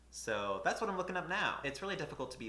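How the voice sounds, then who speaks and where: Talking very fast, a man is heard with audible echo from the room. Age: 20s. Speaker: booktuber. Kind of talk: casual vlog talk to camera.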